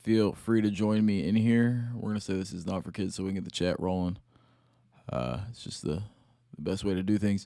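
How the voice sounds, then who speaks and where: On a very clean recording with a silent background, a man talks at a fairly quick pace in a dark, mellow tone. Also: fairly low pitch for a man, ordinary pitch variation. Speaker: crypto livestreamer. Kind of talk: live stream commentary. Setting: home at night, live stream. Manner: kept quiet, trying not to get loud.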